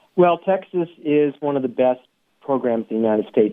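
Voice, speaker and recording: A man with an American accent at a moderate pace. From Seattle, US Pacific Northwest. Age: 60s. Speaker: masters swimmer, world record holder. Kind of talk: interview. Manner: halting.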